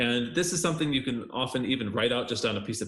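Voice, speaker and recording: A man with an American accent and medium pitch talks at a very fast pace over noticeable background noise. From United States. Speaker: university lecturer. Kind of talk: lecture. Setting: screencast. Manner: casual, with frequent fillers.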